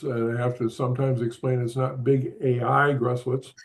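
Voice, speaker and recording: A man speaks at a fairly slow pace, his medium-pitched voice flat and monotone. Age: 80s+. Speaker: advertising artist and show co-host. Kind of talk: online panel introduction. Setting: video call. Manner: halting, many fillers.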